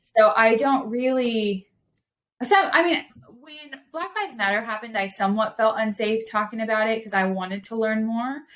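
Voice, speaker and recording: A woman with a Southern California accent speaks in an animated tone at a fairly high pitch and a moderate pace. Her pitch varies in an ordinary way while her loudness swings widely. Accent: Valley twang. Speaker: podcast guest, speaker. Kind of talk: casual chat.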